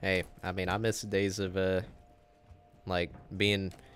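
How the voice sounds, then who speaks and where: A man speaks with music in the background. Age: 20s. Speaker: gaming live streamer. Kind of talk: casual live stream chat, reading viewer messages. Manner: youthful-sounding.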